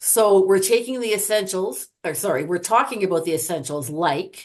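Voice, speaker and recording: A woman uses a put-on character voice, hoarse and raspy, at medium pitch. She speaks at a moderate pace with lively intonation. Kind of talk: professional presenter.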